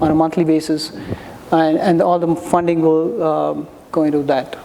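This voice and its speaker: Someone speaks at a moderate pace. Noticeable background noise runs underneath. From India. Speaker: startup founder pitching. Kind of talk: startup pitch.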